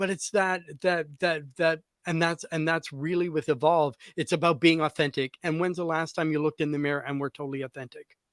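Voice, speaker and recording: A man with a fairly high pitch speaks at a fairly quick pace with fairly even intonation, in an ordinary speaking voice. The recording is very clean with a silent background, and the sound is dry and close with no echo. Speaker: hairstylist and podcast host. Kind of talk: casual podcast chat.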